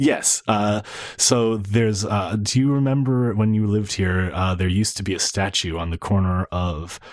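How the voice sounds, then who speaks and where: A man with a fairly low pitch talks at a moderate pace, his pitch varying in an ordinary way. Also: very clean recording, silent background. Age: 40s. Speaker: guest co-host of a book podcast. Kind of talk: casual book discussion. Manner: halting, many repeated words.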